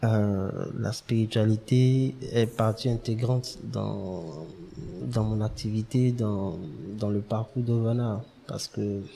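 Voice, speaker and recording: Pausing long and often, a man talks at a very slow pace with fairly even intonation. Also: medium pitch for a man. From Ivory Coast, Abidjan. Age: young. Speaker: start-up founder. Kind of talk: interview.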